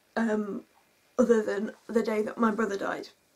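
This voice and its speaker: At a fairly slow pace, a woman speaks in a monotone, flat intonation. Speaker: vlogger telling a personal story. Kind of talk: emotional storytime vlog. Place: home room.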